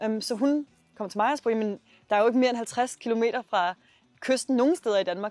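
A woman with a normal speaking voice, fairly high in pitch, at a fairly quick pace with fairly even intonation, dry and close with no echo, over a quiet background. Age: 20s. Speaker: startup founder. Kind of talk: interview.

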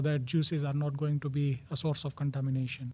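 This man's somewhat breathy voice sits fairly high in pitch and stays monotone, with flat intonation. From India. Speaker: food safety specialist. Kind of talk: interview. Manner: hesitant, frequent uh fillers.

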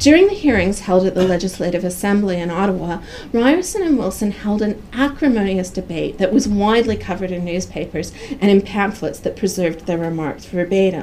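The speaker is a woman with a medium pitch and a fairly quick pace. Noticeable background noise is present. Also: ordinary pitch variation. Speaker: professor giving a lecture. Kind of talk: lecture. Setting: seminar room with audience.

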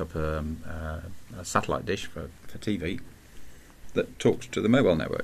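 In an English accent, a man speaks at a moderate pace. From England. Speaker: podcast co-host, telecom expert. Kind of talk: casual chat. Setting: studio.

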